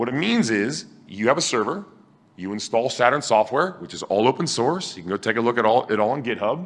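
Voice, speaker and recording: Against a quiet background, a man speaks at a fairly quick pace and medium pitch, with an animated tone and lively intonation. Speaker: tech conference speaker. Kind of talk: conference talk. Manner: loud.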